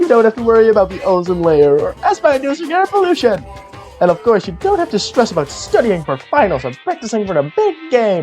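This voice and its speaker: A man's put-on character voice with very wide pitch swings, over clear music in the background. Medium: dub.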